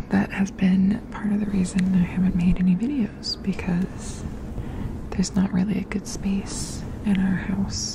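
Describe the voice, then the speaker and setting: A soft-spoken woman whispering at a fairly slow pace, with noticeable background noise. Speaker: ASMR creator. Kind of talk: ASMR whisper ramble. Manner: whispered, soft-spoken. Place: home room. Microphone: studio mic.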